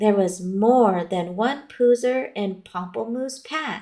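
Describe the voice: Ordinary pitch variation in a plain reading aloud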